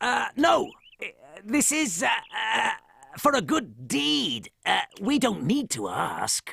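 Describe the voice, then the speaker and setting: A man speaks in a high, cartoonish character voice. His pace is very slow. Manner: sneaky, plotting.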